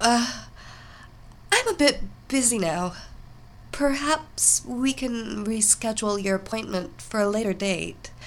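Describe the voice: A put-on character voice, female-sounding and fairly high, comes out nervous and shaky. It moves at a fairly slow pace.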